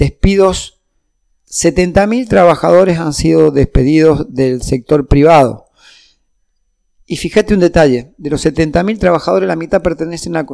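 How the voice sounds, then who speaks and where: A man's plain, everyday voice, fairly high, at a moderate pace with ordinary pitch variation. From Argentina, Mendoza. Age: 60s. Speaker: union leader and politician. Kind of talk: political interview.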